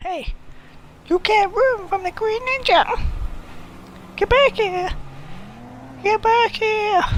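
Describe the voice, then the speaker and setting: In a put-on character voice, the speaker shouts in a squeaky, extremely high pitch, speaking very slowly with long, frequent pauses. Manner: crazy, manic, shouting.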